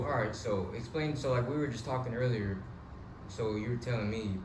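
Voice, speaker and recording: A fairly quick-paced man's voice amid noticeable background noise. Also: medium pitch for a man, ordinary pitch variation. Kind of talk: casual interview host.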